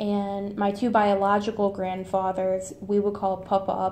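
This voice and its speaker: A woman's dark, mellow, medium-pitched voice with an American accent and monotone, flat intonation, in audible room echo. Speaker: student. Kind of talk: reading aloud; casual monologue.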